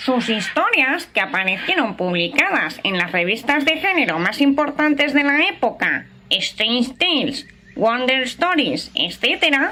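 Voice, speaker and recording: A woman uses a put-on character voice with a high pitch. She speaks at a fairly slow pace with very wide pitch swings. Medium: audio drama. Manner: lecturing, confident.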